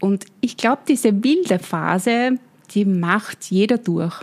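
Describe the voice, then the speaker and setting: Pitch moves in an ordinary way across an unremarkable speaking voice. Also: woman. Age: 50s. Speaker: brand consultant and business coach. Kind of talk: interview.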